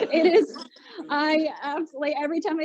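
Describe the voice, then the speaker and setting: A woman speaks over noticeable background noise. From Maritimes, Canada. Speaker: radio host. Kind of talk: casual interview.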